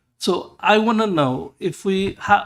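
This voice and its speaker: A man speaks with a non-native accent and lively intonation. The recording is very clean, with a silent background. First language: not English. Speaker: councillor. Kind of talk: council meeting debate. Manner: halting.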